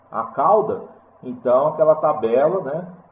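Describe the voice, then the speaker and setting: A man speaks at a fairly slow pace with lively intonation. Audible room echo and noticeable background noise surround him. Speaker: university lecturer. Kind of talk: lecture. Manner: halting.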